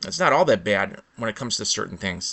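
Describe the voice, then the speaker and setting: With a Chicago accent, a man talks at a fairly quick pace. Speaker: vlogger. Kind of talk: impromptu rant monologue. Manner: halting, with false starts.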